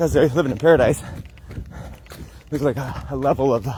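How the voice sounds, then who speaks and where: A man with an American accent, ordinary pitch variation, and noticeable background noise behind him. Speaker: wellness vlogger. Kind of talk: casual vlog talk. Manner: fast.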